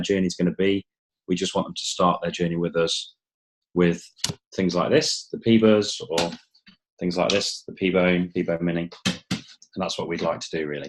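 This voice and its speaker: A man with an English accent speaks at a moderate pace in a very deep, low voice, his intonation fairly even. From England. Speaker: company founder. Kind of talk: webinar presentation.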